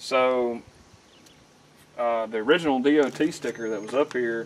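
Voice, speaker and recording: A man with an American accent speaks at a moderate pace. His intonation stays fairly even. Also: medium pitch for a man. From Mississippi. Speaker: welder and mechanic, video creator. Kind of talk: casual tour walkthrough.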